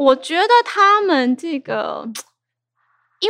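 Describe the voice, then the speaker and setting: Very slowly, a woman speaks in a bright, sharp tone with very wide pitch swings. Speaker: theatre director. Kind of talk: casual chat.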